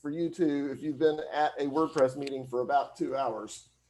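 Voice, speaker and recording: Ordinary pitch variation from a man with a Southern US accent. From US South (Alabama). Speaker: hosting company employee, e-commerce consultant. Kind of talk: presentation. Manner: fast.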